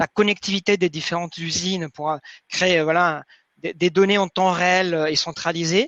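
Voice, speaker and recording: At a moderate pace, a man speaks in a high pitch with monotone, flat intonation, the sound dry and close with no echo over a quiet background. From Mexico City, Mexico. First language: Spanish (speaking French). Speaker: manufacturing IT manager. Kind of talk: webinar presentation. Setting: online webinar.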